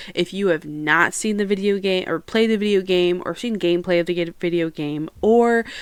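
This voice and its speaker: A loud woman's voice at medium pitch, moderate pace and ordinary pitch variation. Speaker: podcast host. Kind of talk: casual solo podcast chat. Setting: home recording on camera. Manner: chatty, talkative.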